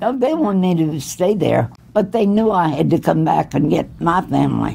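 Vocal fry and a dark, mellow tone mark this woman's voice. She speaks at a moderate pace with lively intonation. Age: 80s+. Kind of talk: interview answer.

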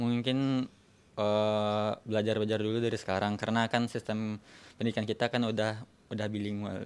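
This man's intonation stays monotone and flat. He keeps a moderate pace. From West Sumatra, Indonesia; Indonesia. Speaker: student. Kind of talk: interview. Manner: halting. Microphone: handheld.

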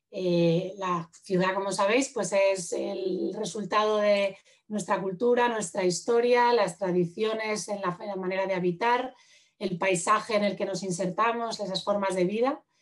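A woman speaks with a normal speaking voice at medium pitch and a fairly slow pace. Her intonation stays fairly even over a quiet background. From Madrid, Spain; Spain. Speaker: urban planner and architect; presenter. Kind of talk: lecture. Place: home room. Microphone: video call.

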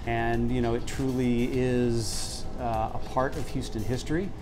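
Clear music plays in the background. A man speaks with fairly even intonation. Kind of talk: interview answer. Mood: warm, proud. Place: cafe. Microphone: lapel.

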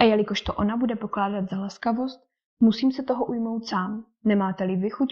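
The background is quiet while a natural reading voice comes through.

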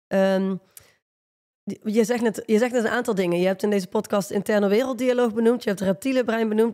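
Over a quiet background, a woman speaks at a very fast pace with a fairly high pitch, a dark, mellow tone and fairly even intonation. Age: 30s. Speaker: leadership coach; podcast co-host. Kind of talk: casual chat. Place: studio. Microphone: studio mic.

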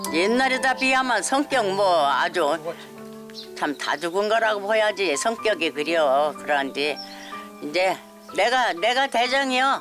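Against clear background music, a woman speaks at a very slow pace with long, frequent pauses, very wide pitch swings and very even loudness. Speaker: elderly farmer. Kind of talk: casual chat. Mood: warm, wry, chatty. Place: farm.

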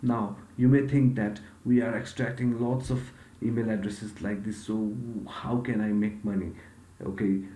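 A man's fairly low voice at a moderate pace, with fairly even intonation, long, frequent pauses, and audible room echo. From Nepal. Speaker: YouTuber. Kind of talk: software tutorial. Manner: hesitant, many fillers.

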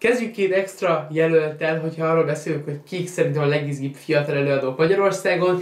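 Amid audible room echo, a man with a fairly high pitch and ordinary pitch variation speaks at a fairly quick pace with hardly any pauses. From Hungary. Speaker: YouTuber and sneaker event organizer; sneaker youtuber. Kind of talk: vlog-style monologue. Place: home room.

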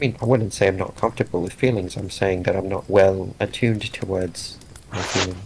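A man's fairly low voice at a fairly quick pace, with noticeable background noise. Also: fairly even intonation. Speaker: tabletop game player. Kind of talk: casual chat.

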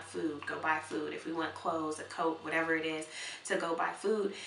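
Fairly even in intonation, the speech moves at a moderate pace with audible room echo and light background noise. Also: woman. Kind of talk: interview answer. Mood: earnest, heartfelt. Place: home room.

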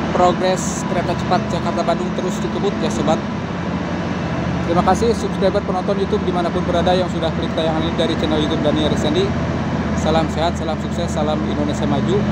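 A very fast pace over loud background noise. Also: dry sound with no echo. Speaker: construction progress vlogger. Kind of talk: commentary. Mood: upbeat, admiring. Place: open country. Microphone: phone near.

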